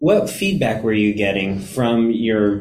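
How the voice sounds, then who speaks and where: A man talks at a fairly slow pace, his fairly low pitch held in fairly even intonation. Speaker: Buddhist teacher co-leading talk. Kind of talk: dharma talk conversation. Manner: loud, talkative.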